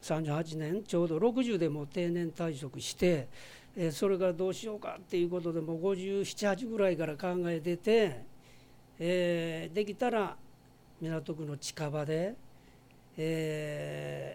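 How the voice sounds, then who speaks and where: A man speaks at a very slow pace. His pitch is high and his tone is dark and mellow. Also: ordinary pitch variation. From Osaka, Minato ward. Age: 60s. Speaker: bar owner and retired teacher. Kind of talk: interview. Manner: hesitant with many fillers.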